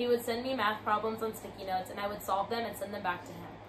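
A woman talks at a very fast pace with fairly even intonation over noticeable background noise. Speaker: college student youtuber. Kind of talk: reading aloud. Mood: calm, reflective. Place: home room. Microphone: camera far.

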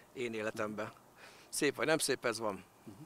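A man's bright, sharp tone comes through at a moderate pace, dry with no echo and over light background noise. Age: 50s. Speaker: direct-sales distributor. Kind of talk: interview. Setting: outdoors. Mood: calm, positive. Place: waterside. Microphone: handheld.

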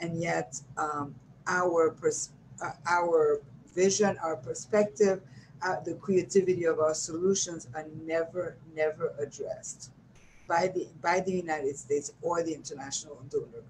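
This woman has an ordinary speaking voice with a fairly low pitch. She talks at a moderate pace with fairly even intonation. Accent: American. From New York. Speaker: nonprofit director and community organizer. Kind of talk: interview. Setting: video call.

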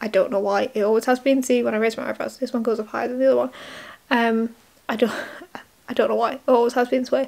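The speech is mumbled. The intonation stays monotone and flat. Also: woman. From UK. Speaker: YouTuber. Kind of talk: casual vlog. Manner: mumbling. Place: home room. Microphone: webcam.

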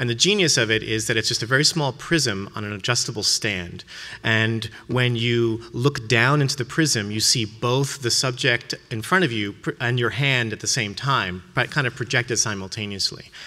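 At a moderate pace, a man speaks in a bright, sharp tone. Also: ordinary pitch variation. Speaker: art professor. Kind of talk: conference lecture. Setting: stage with audience. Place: hall.

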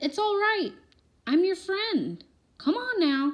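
Using a put-on character voice, a woman speaks at an extremely high pitch. She is soft-spoken and goes at a fairly slow pace. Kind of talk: gentle. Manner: soft, coaxing.

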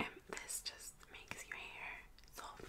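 A woman whispering. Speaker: ASMR role-play host. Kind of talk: soft role-play chat to the viewer. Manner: soft, slow ASMR speech near mic. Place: home room. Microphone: studio mic.

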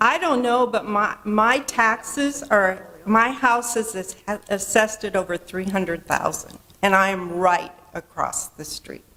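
Over noticeable background noise, a woman talks at a fairly slow pace and a fairly high pitch. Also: ordinary pitch variation. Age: 60s. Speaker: resident speaking at public hearing. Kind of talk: public comment at meeting.

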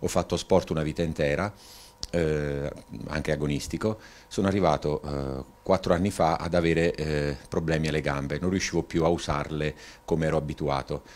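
Very deep, low male voice, intonation fairly even. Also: moderate pace. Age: 50s. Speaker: patient. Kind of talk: testimony. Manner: halting. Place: home room. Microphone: handheld.

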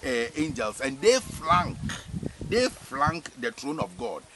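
A man talking at a fairly slow pace, the sound dry with no echo, over noticeable background noise. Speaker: spiritual teacher. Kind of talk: religious teaching. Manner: repetitive, hesitant with fillers. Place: farm. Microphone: camera far.

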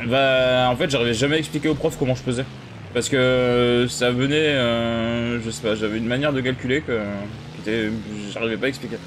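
Noticeable background noise accompanies a man at medium pitch who talks at a moderate pace with fairly even intonation. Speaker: gaming streamer. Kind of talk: live gameplay commentary. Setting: live stream. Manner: casual, hesitant with many fillers.

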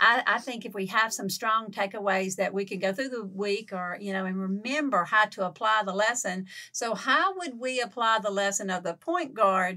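With a Southern US accent, the speaker uses a bright, sharp tone and ordinary pitch variation, leaving hardly any pauses. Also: woman, medium pitch for a woman. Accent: Southern drawl. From Louisiana, Lake Providence. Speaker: podcast co-host. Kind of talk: casual chat.

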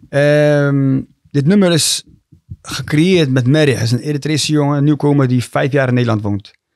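A fairly high-pitched man talks at a moderate pace with ordinary pitch variation. The sound is dry with no echo, over a quiet background. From Rotterdam, Netherlands (born in Eritrea); Netherlands. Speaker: rapper and youth coach; youth coach. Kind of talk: casual chat. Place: studio. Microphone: studio mic.

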